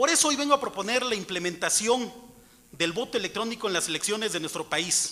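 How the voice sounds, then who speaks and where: Over noticeable background noise, a man with a high pitch uses a raised, projected voice, lively intonation and a fairly quick pace. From Mixtec community in Oaxaca, Mexico. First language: Mixtec (speaking Spanish). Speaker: citizen speaker at public hearing. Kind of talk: prepared speech at public hearing. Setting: auditorium hearing. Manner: formal.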